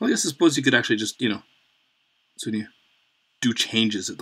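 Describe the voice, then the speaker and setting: At a medium pitch, a man speaks with very wide pitch swings. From Canada. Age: 40s. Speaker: artist streamer. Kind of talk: casual chat. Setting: live stream. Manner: rambling, fast.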